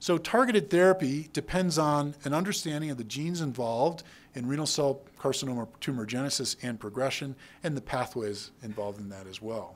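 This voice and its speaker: Talking at a fairly quick pace, a man with an American accent has a fairly high pitch, lively intonation, and a normal speaking voice. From Texas. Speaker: urologist and researcher. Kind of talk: lecture. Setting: stage with audience. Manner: casual with frequent fillers.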